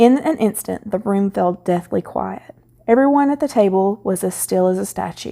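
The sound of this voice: Lively intonation in an unforced reading voice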